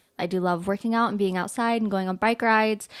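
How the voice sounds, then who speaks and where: Ordinary pitch variation marks a normal speaking voice. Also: woman. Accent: American. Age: 20s. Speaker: stay-at-home mom. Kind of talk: casual chat.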